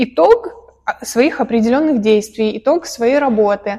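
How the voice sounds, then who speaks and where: A woman with a fairly high pitch talks with ordinary pitch variation. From Russia, village. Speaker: painting studio owner. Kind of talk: casual interview.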